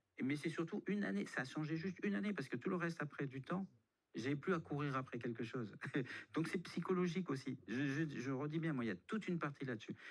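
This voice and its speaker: At a very fast pace, a man with a fairly high pitch speaks with lively intonation and very even loudness. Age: 60s. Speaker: budget consultant. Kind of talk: radio interview. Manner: halting.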